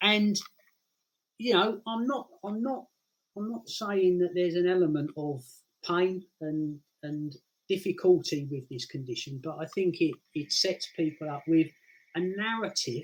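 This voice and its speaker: A man with a British accent speaks at a fairly slow pace, his voice high for a man. His intonation is lively, broken by long, frequent pauses. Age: 60s. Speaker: guest with multiple sclerosis. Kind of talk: casual interview. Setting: live stream.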